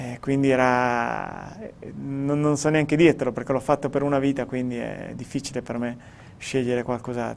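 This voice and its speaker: The man speaks at a fairly slow pace. His intonation is monotone and flat. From Italy. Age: 30s. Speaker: professional cyclist; interviewee. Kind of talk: interview. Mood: calm, reflective. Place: studio. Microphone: lapel.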